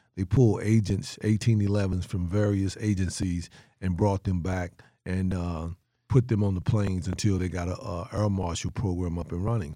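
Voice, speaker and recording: With a Southern US accent, a man speaks in a very deep, low pitch and fairly even intonation. The recording is very clean, with a silent background. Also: moderate pace. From North Carolina. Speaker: sheriff and former federal agent. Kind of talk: casual chat.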